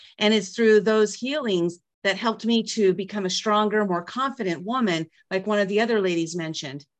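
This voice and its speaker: Using an ordinary speaking voice, a woman talks at a fairly quick pace with hardly any pauses, at a medium pitch and with ordinary pitch variation. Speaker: author, empowerment speaker. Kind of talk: testimony. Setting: video call.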